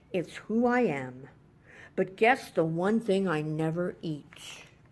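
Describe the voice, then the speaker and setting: The put-on character voice sits at a middle pitch. It moves at a fairly slow pace. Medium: read story. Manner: gloating, playful menace.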